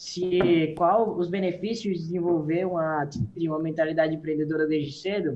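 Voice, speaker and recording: A man is speaking. He keeps a moderate pace. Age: young. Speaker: young entrepreneur. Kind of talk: interview. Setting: video call. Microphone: phone.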